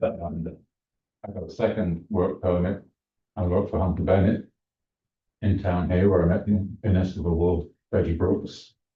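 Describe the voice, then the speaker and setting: This man's voice is very deep and low and somewhat breathy, with monotone, flat intonation and long, frequent pauses. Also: moderate pace. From England. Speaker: candidate for vacant council seat. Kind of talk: public comment at council meeting. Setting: city council meeting. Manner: hesitant, many filler ums.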